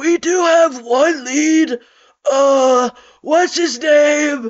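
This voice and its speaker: A put-on character voice from a man, extremely high in pitch, at a very slow pace. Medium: read story. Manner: muttering.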